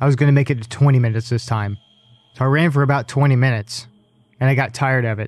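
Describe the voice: Plain reading aloud, nothing more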